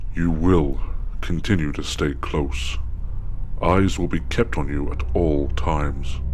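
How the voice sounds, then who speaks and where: A man in a put-on character voice, talking at a fairly slow pace over clear background noise. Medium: machinima. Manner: formal, stern.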